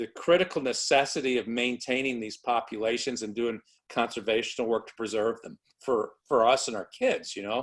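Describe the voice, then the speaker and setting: In an American accent, a man speaks at a medium pitch and a moderate pace. His pitch varies in an ordinary way, and the recording is very clean with a silent background. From Chicago, then Louisiana from age 15. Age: 60s. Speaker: birder and eye doctor. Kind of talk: interview. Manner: halting, many repetitions.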